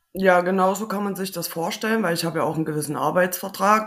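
Delivery is very fast, with fairly even intonation. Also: woman. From Thuringia, Germany. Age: 30s. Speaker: maintenance technician. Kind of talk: interview.

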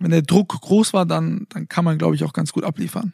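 The voice sounds dry and close with no echo, moving at a moderate pace. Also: man. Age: 20s. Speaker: sports TV presenter and podcast co-host. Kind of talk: casual chat. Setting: recording in bed at home.

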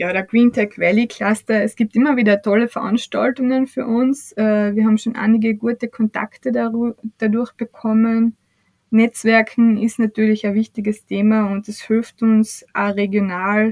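The sound is dry and close with no echo as a woman speaks at a fairly high pitch in a monotone, flat intonation. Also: fairly slow pace. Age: 30s. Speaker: startup CEO. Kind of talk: podcast interview.

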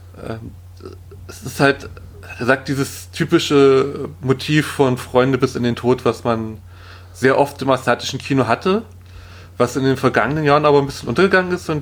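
A man's medium-pitched voice with vocal fry and very wide pitch swings, at a moderate pace. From Saxony-Anhalt, eastern Germany. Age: 30s. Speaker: film podcaster. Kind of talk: casual chat.

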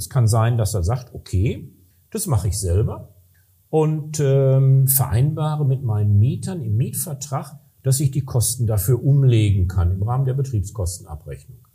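Medium-pitched male voice with a dark, mellow, somewhat breathy tone, lively intonation and a moderate pace. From western Germany, Ruhr area (Recklinghausen). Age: middle-aged. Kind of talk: casual interview. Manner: hesitant with fillers.

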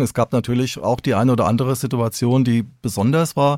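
A man's normal speaking voice at medium pitch and moderate pace, in a very clean recording with a silent background. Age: 50s. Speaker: senior police officer. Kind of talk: interview. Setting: studio.

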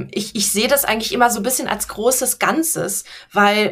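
A woman's plain, everyday voice at a moderate pace, with ordinary pitch variation. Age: 30s. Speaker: business coach. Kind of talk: interview.

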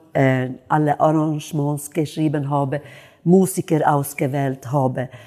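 This woman has a dark, mellow tone and speaks with a Swedish accent. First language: Swedish (speaking German). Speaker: jazz singer. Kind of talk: interview.

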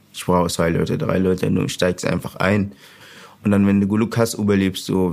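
A man with an Arabic accent, fairly low in pitch, with fairly even intonation. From Sudan. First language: Arabic (speaking German). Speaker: refugee, trainee mechanic and youth football coach. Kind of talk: interview testimony.

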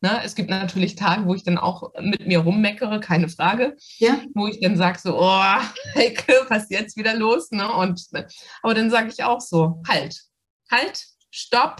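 A woman uses an ordinary speaking voice of medium pitch, with ordinary pitch variation and a moderate pace. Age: 50s. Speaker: doctor and coaching client. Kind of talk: interview testimony.

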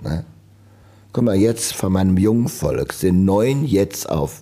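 With lively intonation, a man speaks at a fairly slow pace in a very deep, low pitch. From Germany, Trier. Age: 70s. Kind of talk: interview. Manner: casual chatty.

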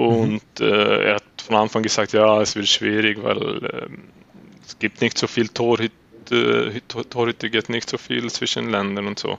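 In a Swedish accent, a man speaks at a fairly slow pace. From Sweden, Uppsala. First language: Swedish (speaking German). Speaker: floorball goalkeeper. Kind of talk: interview. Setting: remote interview in the evening, guest has training later. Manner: halting, searching for words.

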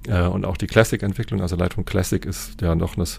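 A man speaks in a very deep, low voice with ordinary pitch variation. The recording is very clean, with a silent background. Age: 40s. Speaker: engineering manager. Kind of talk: interview.

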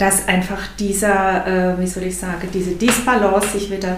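A woman's medium-pitched voice at a fairly slow pace, with audible room echo and noticeable background noise. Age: 50s. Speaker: coach. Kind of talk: casual interview.

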